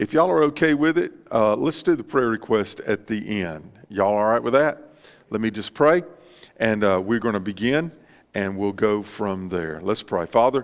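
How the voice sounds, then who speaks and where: A man's fairly low voice at a moderate pace over a quiet background. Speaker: pastor. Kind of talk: sermon and spoken prayer. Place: church.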